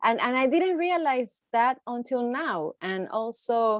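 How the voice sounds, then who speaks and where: Very slow speech in a Puerto Rican accent, with ordinary pitch variation and a dry, close sound with no echo. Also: woman. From Puerto Rico. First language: Spanish. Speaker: poet. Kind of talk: panel discussion. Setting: video call. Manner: halting.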